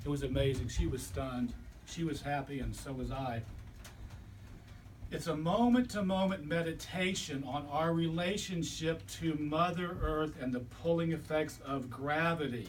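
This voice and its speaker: There is audible room echo as a man talks in a fairly high voice. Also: ordinary pitch variation, moderate pace. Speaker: chiropractor and body worker. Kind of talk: lecture.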